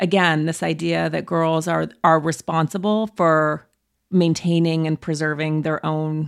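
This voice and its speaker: A woman with a normal speaking voice talks fairly slowly at a fairly low pitch. The recording is very clean, with a silent background. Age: 40s. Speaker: author. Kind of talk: casual chat.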